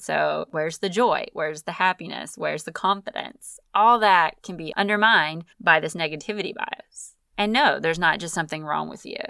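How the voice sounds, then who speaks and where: The tone is upbeat, bright and sharp. Vocal fry runs through the voice. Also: woman, fairly low pitch for a woman, ordinary pitch variation, moderate pace, hardly any pauses, big swings in loudness. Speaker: life coach podcast host. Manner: casual, chatty, upbeat, laughs often.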